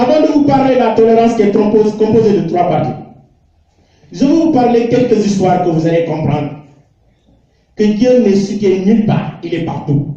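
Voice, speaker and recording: The speaker keeps a moderate pace with lively intonation, broken by long, frequent pauses. Audible room echo surrounds the voice. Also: man, high pitch for a man. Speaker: Islamic preacher. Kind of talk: religious lecture. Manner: emphatic, repetitive rhetorical questions.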